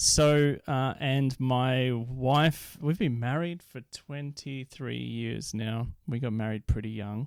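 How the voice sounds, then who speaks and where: With an Australian accent, a man speaks at a very slow pace with hardly any pauses, medium pitch and fairly even intonation. The recording is very clean, with a silent background. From Australia, Victoria and Queensland. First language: Dutch. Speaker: poet and inner healer. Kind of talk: podcast interview.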